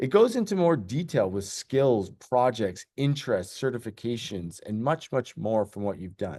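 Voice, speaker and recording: A man with an ordinary speaking voice talks at a medium pitch and a moderate pace. His intonation is lively, over a quiet background. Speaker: tech company representative. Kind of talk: webinar presentation.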